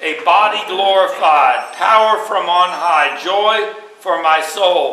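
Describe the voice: The tone is bright and sharp, with ordinary pitch variation and a slow pace. Strong room echo surrounds the voice. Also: man, high pitch for a man.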